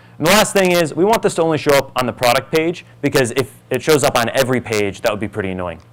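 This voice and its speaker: A man with a fairly high voice talks at a very fast pace, with hardly any pauses and very wide pitch swings. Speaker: conference presenter. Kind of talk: product demo talk. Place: hall.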